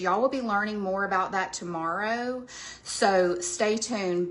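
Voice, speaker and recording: The tone is bright and sharp. The pace is moderate, with ordinary pitch variation. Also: woman. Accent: Southern US. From US South, Georgia. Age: 40s. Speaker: skincare sales presenter. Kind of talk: sales pitch. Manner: casual, chatty.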